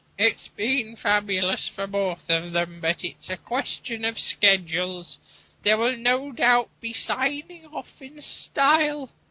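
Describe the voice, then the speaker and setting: A female-sounding voice puts on a character voice, pitched fairly high and delivered at a fairly slow pace. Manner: confiding, gossipy.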